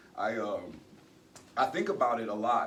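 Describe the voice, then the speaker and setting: A man's lively intonation amid audible room echo and noticeable background noise. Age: 40s. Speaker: retiring military security forces member. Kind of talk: retirement ceremony speech. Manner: halting, many fillers.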